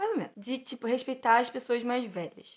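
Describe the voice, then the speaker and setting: The voice belongs to a woman with a high pitch. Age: 20s. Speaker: economics student and intern. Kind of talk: casual interview. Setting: in-person recording.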